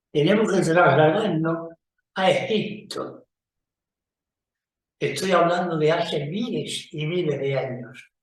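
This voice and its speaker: With audible room echo, a man speaks very slowly at a high pitch, with ordinary pitch variation. He pauses long and often. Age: 90s. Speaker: magician. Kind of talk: casual talk to camera.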